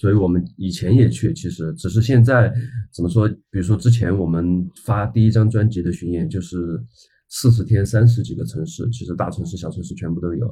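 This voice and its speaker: Fairly low in pitch, this man's voice has a dark, mellow tone and is somewhat breathy. He talks at a fairly quick pace with lively intonation and big swings in loudness. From small Chinese city. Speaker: rock band guitarist. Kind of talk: casual chat.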